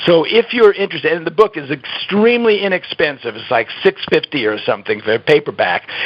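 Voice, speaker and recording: Noticeable background noise is present. Over it, a man's pitch swings very widely. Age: 70s. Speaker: health author. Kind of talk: interview.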